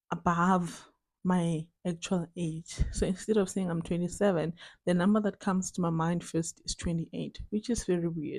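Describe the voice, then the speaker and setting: Somewhat breathy, monotone speech at a moderate pace on a very clean recording with a silent background. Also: woman, fairly low pitch for a woman. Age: 20s. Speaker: vlogger. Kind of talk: casual video diary chat. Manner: rambling with many fillers.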